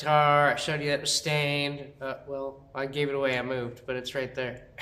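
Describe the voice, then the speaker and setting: The man talks at a fairly quick pace while noticeable background noise carries on. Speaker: guitar builder and video host. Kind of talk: casual workshop show-and-tell. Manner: loud.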